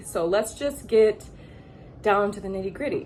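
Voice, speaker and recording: An animated woman's voice with an American accent, at a moderate pace, over noticeable background noise. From Michigan, US Midwest. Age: 30s. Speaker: model and vlogger. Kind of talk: casual vlog storytelling.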